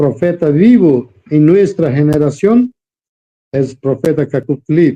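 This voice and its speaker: Very slowly, a man with a Brazilian accent speaks in a dark, mellow tone. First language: Portuguese (speaking Spanish). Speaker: preacher. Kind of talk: interview. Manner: halting.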